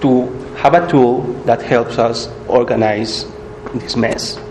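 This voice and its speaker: Noticeable background noise sits behind a man talking with a Spanish accent. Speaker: workshop instructor. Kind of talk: tutorial.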